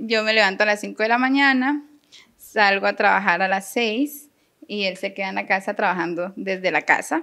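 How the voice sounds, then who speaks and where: A woman's medium-pitched voice, bright and sharp in tone, with ordinary pitch variation. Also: moderate pace. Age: 30s. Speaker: teacher. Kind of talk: interview.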